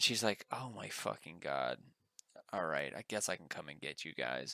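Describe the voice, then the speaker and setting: A man with a very deep, low pitch and a bright, sharp tone speaks at a moderate pace with lively intonation and vocal fry, in a dry, close sound with no echo. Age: 30s. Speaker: podcast co-host. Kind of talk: casual chat.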